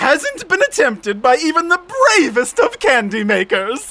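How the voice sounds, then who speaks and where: The voice is high-pitched, moves at a moderate pace and swings very widely in pitch. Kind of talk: comic overacting. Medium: audio drama. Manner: showman, theatrical, dramatic pauses.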